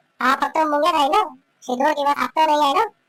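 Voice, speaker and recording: Performing a cartoonish character voice, the speaker talks at a high pitch and a fairly quick pace. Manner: blunt, needling.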